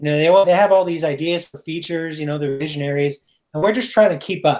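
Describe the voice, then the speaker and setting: A man speaks at a very fast pace in a fairly high pitch with ordinary pitch variation. His loudness shifts in big swings. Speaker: software engineer and tech speaker. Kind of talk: technical talk. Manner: hesitant, many filler words.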